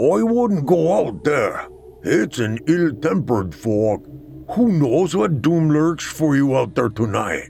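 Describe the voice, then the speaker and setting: A man's fairly high voice with very wide pitch swings and very even loudness, against clear background noise. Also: fairly slow pace. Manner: sly, knowing, cryptic.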